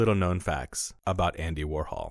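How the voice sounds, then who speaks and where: On a very clean recording with a silent background, a man speaks at a moderate pace. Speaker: voice artist. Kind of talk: documentary narration.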